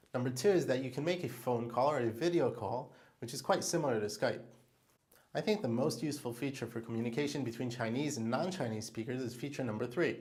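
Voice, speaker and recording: Over audible room echo, a man talks at a very fast pace in a somewhat breathy voice. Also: medium pitch for a man, ordinary pitch variation. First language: Hebrew. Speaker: diamond salesperson. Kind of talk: tutorial.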